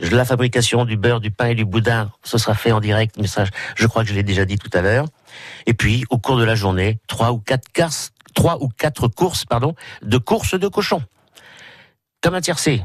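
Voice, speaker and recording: A man's somewhat breathy voice at medium pitch and moderate pace, with ordinary pitch variation, very even loudness and long, frequent pauses, in a dry, close sound with no echo over a quiet background. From Brittany. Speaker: village festival committee member. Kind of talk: radio interview. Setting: radio studio. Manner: halting.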